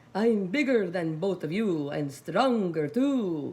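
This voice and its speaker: In a put-on character voice, the speaker goes at a fairly slow pace with a middle pitch. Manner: boastful.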